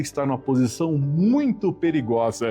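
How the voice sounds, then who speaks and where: A man speaks at a fairly slow pace with very wide pitch swings while music plays in the background. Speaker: preacher / devotional speaker. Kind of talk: sermon reflection on the radio. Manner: earnest, zealous.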